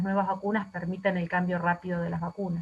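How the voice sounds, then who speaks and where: At a fairly quick pace, a woman speaks in a somewhat breathy voice at medium pitch with monotone, flat intonation. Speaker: infectious disease physician. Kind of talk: lecture. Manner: fast.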